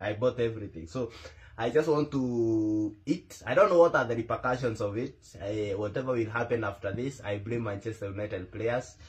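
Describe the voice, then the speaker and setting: Somewhat breathy, a man speaks at a moderate pace. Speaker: football fan vlogger. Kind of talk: casual vlog chat. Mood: playful, nervous laughter. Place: home room. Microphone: phone near.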